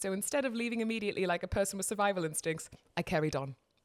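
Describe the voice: A plain read-aloud delivery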